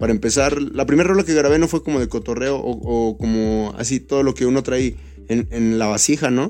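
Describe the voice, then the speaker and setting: Very even in loudness, a man with a dark, mellow tone talks at medium pitch and a fairly quick pace with ordinary pitch variation on a very clean recording with a silent background. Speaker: beatmaker and rapper. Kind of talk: casual chat.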